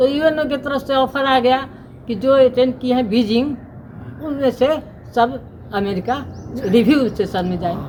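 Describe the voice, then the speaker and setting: A woman with a high pitch speaks with long, frequent pauses amid noticeable background noise. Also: ordinary pitch variation. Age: 80s+. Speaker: women's rights activist. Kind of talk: interview.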